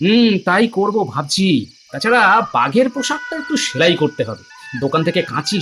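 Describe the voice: A cartoonish character voice at a middle pitch and a moderate pace.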